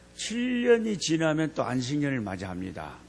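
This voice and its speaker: A man speaks very slowly amid audible room echo. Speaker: missionary preacher. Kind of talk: revival sermon; congregational prayer. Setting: church service. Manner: fervent, repetitive prayer style.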